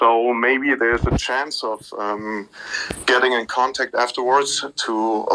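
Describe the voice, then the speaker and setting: Noticeable background noise surrounds a man with a German accent. He speaks at a fairly slow pace in a monotone, flat intonation. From Germany. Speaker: audience member asking questions. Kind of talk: casual Q&A.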